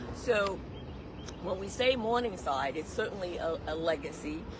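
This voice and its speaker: A woman with a North Carolina accent speaks at medium pitch with lively intonation, amid noticeable background noise and audible room echo. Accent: Southern US (North Carolina). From US South, Statesville, North Carolina. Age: 60s. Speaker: local historian and community advocate. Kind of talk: on-location interview. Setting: outdoors by railway bridge.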